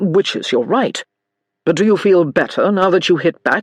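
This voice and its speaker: In a put-on character voice, the speaker growls at a middle pitch with a calm tone and a moderate pace. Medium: read story. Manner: calm, measured.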